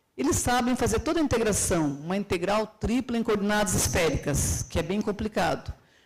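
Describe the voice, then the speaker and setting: Vocal fry runs through a woman's medium-pitched voice. She speaks at a moderate pace with lively intonation. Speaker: university professor and conference speaker. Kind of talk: conference lecture. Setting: stage with audience.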